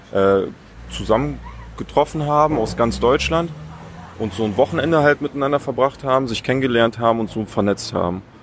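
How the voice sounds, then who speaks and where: Noticeable background noise behind a man with ordinary pitch variation. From Eberswalde, Brandenburg, Germany. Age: 20s. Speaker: public relations staffer. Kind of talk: interview. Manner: hesitant, many filler sounds.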